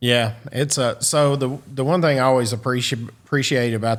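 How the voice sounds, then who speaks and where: A man with a Southern US accent in a very clean recording with a silent background. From US South. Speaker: podcast host. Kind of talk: podcast interview. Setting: studio.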